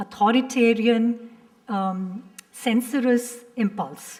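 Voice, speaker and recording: A woman speaks in an Indian accent. Her pitch is high. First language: Hindi. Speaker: professor. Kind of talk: panel discussion.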